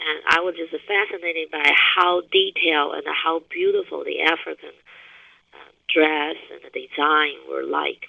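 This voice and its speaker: Fairly slow speech delivered with a Taiwanese accent. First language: Chinese (Taiwan). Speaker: university business professor and researcher. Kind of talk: webinar presentation. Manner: halting, with frequent fillers and restarts.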